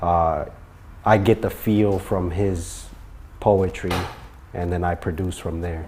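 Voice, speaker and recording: A man's very deep, low voice, dark and mellow in tone, somewhat breathy, monotone and flat, at a very slow pace with long, frequent pauses. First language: not English. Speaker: music producer and royalty specialist. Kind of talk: casual interview.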